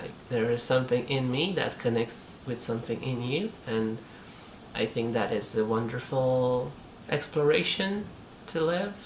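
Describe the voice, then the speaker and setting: Over noticeable background noise, a woman with a very deep, low pitch speaks with lively intonation. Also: fairly slow pace. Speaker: fitness vlogger and artist. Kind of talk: casual talk to camera. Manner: hesitant, reflective.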